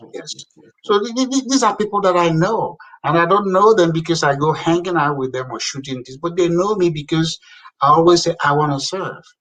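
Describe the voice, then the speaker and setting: A man with an African accent speaks at a fairly quick pace in a high pitch, his tone animated and his intonation lively. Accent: noticeable foreign (African). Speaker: African immigrant community leader and public appointee. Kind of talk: casual interview chat. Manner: animated, emphatic.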